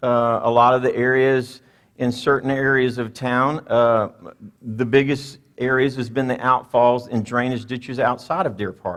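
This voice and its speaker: A man speaks at a moderate pace with a Louisiana accent, his pitch medium. His intonation stays monotone and flat. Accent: Louisiana accent, pronounces water with an R. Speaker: mayor. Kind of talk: public address. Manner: conversational, hesitant fillers.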